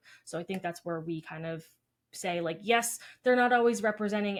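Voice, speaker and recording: A woman with an unremarkable speaking voice, fairly even intonation and a fairly quick pace. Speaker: dietitian podcast co-host. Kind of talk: casual chat.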